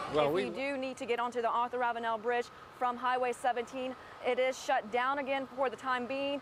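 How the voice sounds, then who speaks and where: A woman's high-pitched voice with an American accent, fairly quick and fairly even in intonation, over noticeable background noise. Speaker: TV news reporter. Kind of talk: live TV news report.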